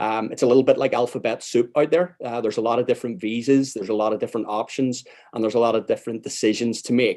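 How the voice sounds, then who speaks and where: Delivered at a very fast pace with a Northern Irish accent, the voice has a dark, mellow tone and ordinary pitch variation. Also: man. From Northern Ireland, outside Belfast. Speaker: immigration lawyer. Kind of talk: panel presentation.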